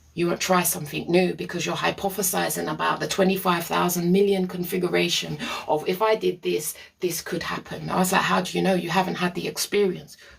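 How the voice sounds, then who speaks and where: Noticeable noise sits in the background. The speaker talks at a fairly quick pace. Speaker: therapist. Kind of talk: live stream talk answering viewer comments. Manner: animated.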